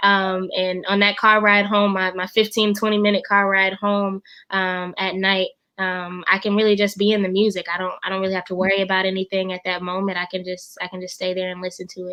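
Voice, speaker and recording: Against a quiet background, a woman speaks at a fairly quick pace with a slight Southern US accent, her medium-pitched voice bright and sharp in tone but flat and monotone in intonation. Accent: slight Southern twang. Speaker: funeral director and music teacher. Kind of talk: interview conversation. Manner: hesitant, many fillers.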